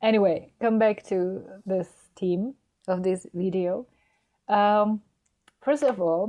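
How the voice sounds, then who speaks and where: With a non-native accent, a woman speaks very slowly at a medium pitch, with ordinary pitch variation and long, frequent pauses. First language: Czech. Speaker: spiritual guide. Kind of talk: spiritual talk to camera. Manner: halting.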